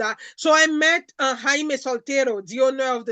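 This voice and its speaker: Over a quiet background, a woman with a Haitian accent projects a raised, high-pitched voice with a bright, sharp tone, sounding animated at a moderate pace with ordinary pitch variation. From Haiti (Jérémie). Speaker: food entrepreneur. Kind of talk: interview.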